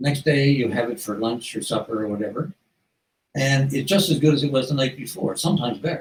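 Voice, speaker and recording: Very fast and fairly high-pitched, a man talks with ordinary pitch variation. His voice is somewhat breathy. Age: 80s+. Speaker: author. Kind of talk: reading aloud; casual interview. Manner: halting.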